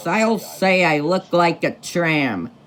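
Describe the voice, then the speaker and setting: A man puts on a high-pitched character voice. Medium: read story.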